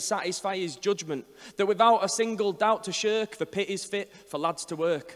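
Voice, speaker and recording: A man with a high pitch speaks at a fairly quick pace with ordinary pitch variation. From Northern England. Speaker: performance poet. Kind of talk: poetry reading. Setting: live venue. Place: hall. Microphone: handheld.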